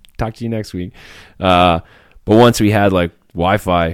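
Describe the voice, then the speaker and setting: Ordinary pitch variation marks this voice with a western Canadian accent. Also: man. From rural Alberta, Canada. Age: 40s. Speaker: former special forces sniper and country musician. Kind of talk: casual interview.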